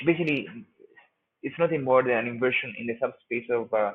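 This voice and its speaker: A man talks at a fairly quick pace. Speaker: lecturer. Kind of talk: lecture. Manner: fast; halting, many fillers.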